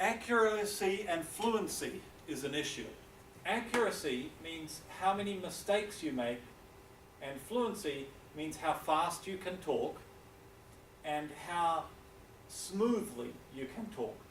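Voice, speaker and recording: With audible room echo, a man in a New Zealand accent speaks at a very slow pace and high pitch, using lively intonation and long, frequent pauses. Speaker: university English lecturer. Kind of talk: lecture.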